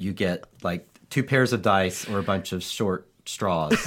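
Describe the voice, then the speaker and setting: In a very clean recording with a silent background, a man with a plain, everyday voice and a fairly low pitch speaks at a fairly slow pace with ordinary pitch variation. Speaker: podcast host; occasional preacher. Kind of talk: casual conversation.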